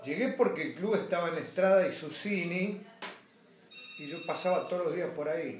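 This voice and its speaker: A man with a Rioplatense accent speaks at a high pitch and a moderate pace, pausing long and often. Noticeable background noise and audible room echo fill the recording. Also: ordinary pitch variation. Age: 60s. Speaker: sports club board member. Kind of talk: interview.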